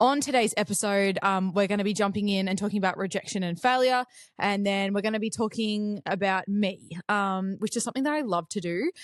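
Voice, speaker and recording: A woman at a fairly quick pace with hardly any pauses and ordinary pitch variation, over a quiet background. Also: medium pitch for a woman. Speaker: podcast host. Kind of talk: casual chat. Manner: fast.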